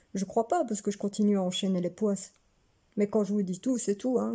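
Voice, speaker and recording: Somewhat breathy and dark, mellow in tone, a woman's medium-pitched voice moves at a fairly quick pace with ordinary pitch variation. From Belgium, Hainaut near Mons. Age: 30s. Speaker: vlogger. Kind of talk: casual personal vlog monologue.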